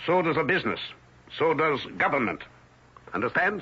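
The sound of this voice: A man puts on a character voice with a husky, rough edge and a fairly high pitch. He moves at a moderate pace with big pitch swings.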